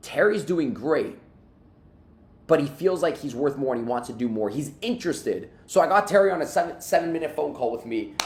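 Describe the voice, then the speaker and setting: Speaking at a fairly quick pace, a man has a fairly high pitch. His tone is animated and his intonation lively. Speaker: sales team coach. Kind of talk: sales training on a video call. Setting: video call. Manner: fast.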